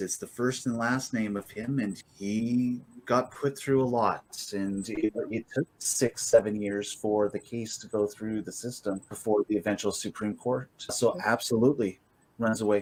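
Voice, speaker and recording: A man speaks at a fairly slow pace with a medium pitch and fairly even intonation. He has a normal speaking voice. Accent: Canadian. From rural Alberta, Canada. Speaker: podcast host. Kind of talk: interview.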